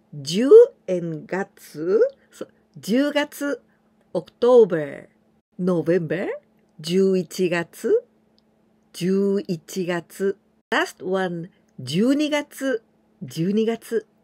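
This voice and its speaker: At a very slow pace with long, frequent pauses, a woman speaks in a dark, mellow tone with very wide pitch swings. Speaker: Japanese language teacher. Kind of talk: tutorial. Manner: slow, repetitive pronunciation drills. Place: home room. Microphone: phone near.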